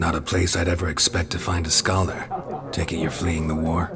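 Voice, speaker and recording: Putting on a character voice, a man speaks at a fairly quick pace with a very deep, low pitch while clear background noise plays. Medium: game stream. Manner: terse, dry.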